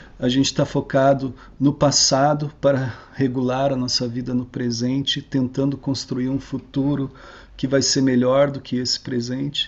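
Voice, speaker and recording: A man talking at a moderate pace. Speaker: researcher giving a talk. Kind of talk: online lecture. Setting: online video talk.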